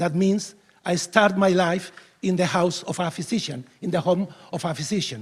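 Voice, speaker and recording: Here a man speaks with a Spanish accent at a high pitch. His pace is moderate and his pitch varies in an ordinary way. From Spain. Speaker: veterinarian, keynote speaker. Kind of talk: conference keynote speech. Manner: halting, many fillers and restarts.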